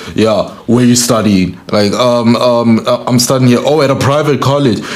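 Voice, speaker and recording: A man speaks at a medium pitch and moderate pace. Noticeable background noise can be heard. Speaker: podcast host. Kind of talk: casual chat. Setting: studio.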